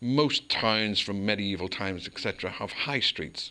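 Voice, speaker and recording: A man with a Northern Irish accent speaks at a moderate pace with fairly low pitch. His tone is bright and sharp, on a very clean recording with a silent background. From Northern Ireland, Belfast. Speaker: local councillor. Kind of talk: interview.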